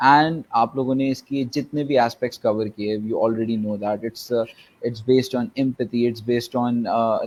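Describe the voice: A man talks with little pitch movement and a slightly mellow tone.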